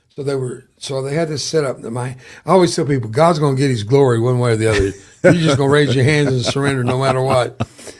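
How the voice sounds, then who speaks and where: The voice, with an American accent, is somewhat breathy and very fast, with ordinary pitch variation, captured in a very clean recording against a silent background. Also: man. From US South. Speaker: war veteran. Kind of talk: interview testimony.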